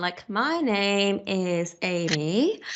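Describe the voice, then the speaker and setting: Speaking in an American accent, a woman uses a fairly high pitch. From England. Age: 20s. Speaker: software consultant. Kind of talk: casual chat.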